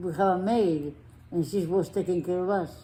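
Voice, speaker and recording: A woman speaks in a fairly low pitch. Her tone is dark and mellow. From Spain. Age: 80s+. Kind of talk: interview answer.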